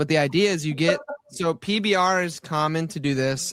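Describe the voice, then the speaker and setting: A man talks with a slight Southern US accent and ordinary pitch variation. The sound is dry and close, with no echo. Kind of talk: casual chat. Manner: animated.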